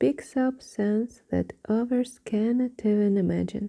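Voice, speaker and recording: A soft-spoken voice moves at a very slow pace. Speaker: ASMR storyteller. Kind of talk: bedtime story reading.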